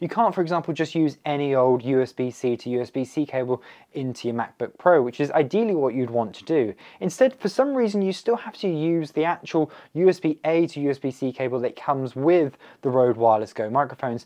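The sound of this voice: A man talks with few pauses and ordinary pitch variation. His tone is dark and mellow. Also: medium pitch for a man, fairly quick pace.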